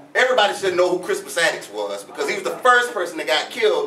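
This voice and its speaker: A man rattles along extremely rapidly in a space with audible echo and clear background noise. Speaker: history lecturer. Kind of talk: lecture to live audience. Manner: fast; animated.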